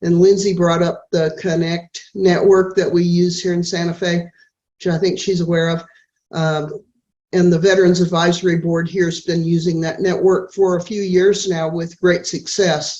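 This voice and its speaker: At a moderate pace, a woman speaks in a fairly low pitch and a dark, mellow tone with monotone, flat intonation. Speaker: veterans advocate, caucus member. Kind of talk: video call Q&A comment.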